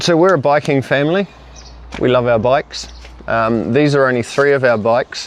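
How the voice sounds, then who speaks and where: With a New Zealand accent, a man talks at a moderate pace and medium pitch, his pitch varying in an ordinary way and his loudness very even, over noticeable background noise. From New Zealand, Rotorua. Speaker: family cycling vlogger, parent. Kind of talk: casual chat.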